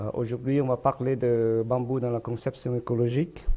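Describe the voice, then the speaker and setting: A medium-pitched male voice in a Vietnamese accent, with fairly even intonation. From Vietnam, Hanoi. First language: Vietnamese (speaking French). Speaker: architect and architecture lecturer. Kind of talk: lecture. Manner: slow; halting, many hesitations.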